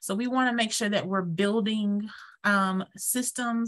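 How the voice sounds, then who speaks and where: At a fairly slow pace, a woman with a Georgia accent speaks at a medium pitch in a bright, sharp tone, with ordinary pitch variation against a quiet background. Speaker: sex education trainer. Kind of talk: webinar presentation. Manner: halting, many fillers.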